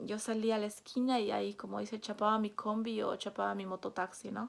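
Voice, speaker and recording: Over a very clean recording with a silent background, a woman speaks in a Peruvian accent at a moderate pace. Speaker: vlogger. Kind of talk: personal storytelling vlog. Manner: casual, with fillers and hesitations.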